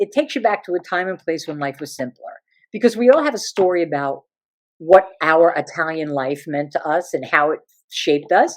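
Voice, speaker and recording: A woman with an American accent and vocal fry at a fairly quick pace, in a very clean recording with a silent background. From New Jersey. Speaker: comedian and stage performer. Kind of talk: interview answer. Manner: animated, chatty.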